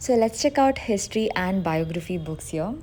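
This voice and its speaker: A woman with an unremarkable speaking voice talks at a medium pitch, her intonation lively. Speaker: book youtuber. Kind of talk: casual vlog talk.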